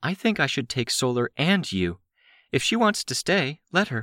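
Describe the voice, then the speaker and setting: A man's put-on character voice, fairly high in pitch with very wide pitch swings, at a moderate pace, in a very clean recording with a silent background and a dry, close sound with no echo. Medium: read story. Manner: calm, measured.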